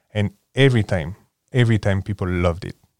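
In a French accent, a man speaks at a moderate pace with a fairly low pitch and ordinary pitch variation, in a very clean, dry, close recording with a silent background and no echo. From France, near Paris. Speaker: board game enthusiast guest. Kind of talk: casual interview chat.

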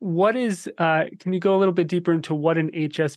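Fairly quick speech with an American accent over a quiet background. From New Jersey. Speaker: summit interviewer. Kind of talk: interview.

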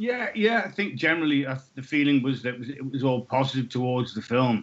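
The voice is a man's, pitched in the medium range. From UK. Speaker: film actor. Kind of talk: interview. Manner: halting.

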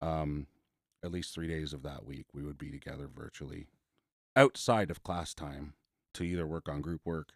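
With long, frequent pauses, a man with a very deep, low pitch talks at a moderate pace in a dry, close sound with no echo. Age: 40s. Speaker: social worker. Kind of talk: casual chat. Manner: talkative.

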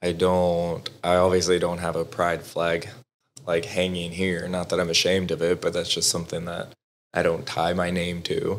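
A man with a Texas accent talks in a very deep, low pitch at a moderate pace, his intonation monotone and flat. The recording is very clean, with a silent background. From Southwest Texas. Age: 20s. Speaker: veteran and nonprofit board member. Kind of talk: casual interview, personal story.

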